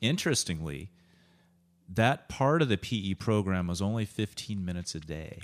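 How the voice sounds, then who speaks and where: A man uses a normal speaking voice at a fairly low pitch and a moderate pace. His intonation is lively, on a very clean recording with a silent background. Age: 50s. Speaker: podcast host and wellness coach. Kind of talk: casual interview.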